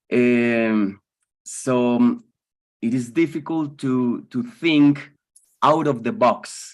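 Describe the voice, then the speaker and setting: A man with a Spanish accent, medium in pitch, with ordinary pitch variation, at a very slow pace with long, frequent pauses. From Colombia. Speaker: philosophy teacher. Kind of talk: webinar discussion. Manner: halting.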